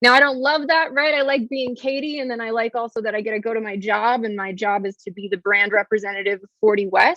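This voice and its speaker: A woman speaks at a very fast pace. Her pitch is fairly high, with ordinary variation. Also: hardly any pauses. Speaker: arts district communications director teaching a class. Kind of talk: online class presentation.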